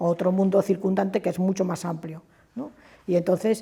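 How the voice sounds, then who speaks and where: Somewhat breathy and dark, mellow in tone, a woman's fairly low voice moves at a fairly quick pace. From Spain, Madrid. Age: 70s. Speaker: trade unionist. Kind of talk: oral history interview. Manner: hesitant, with fillers and false starts.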